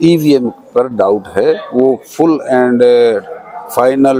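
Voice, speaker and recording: A man with medium pitch speaks with fairly even intonation. Noticeable background noise is present. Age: 60s. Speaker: social activist interviewee. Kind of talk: interview.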